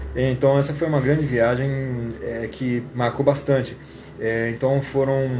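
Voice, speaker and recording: Monotone, flat delivery from a man at medium pitch and moderate pace, with noticeable background noise. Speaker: English teacher. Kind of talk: casual live stream talk.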